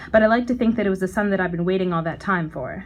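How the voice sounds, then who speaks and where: This is a woman with a somewhat breathy voice. The background is quiet. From Canada, Ottawa. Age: 20s. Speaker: spoken word poet. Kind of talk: poetry performance. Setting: stage with audience.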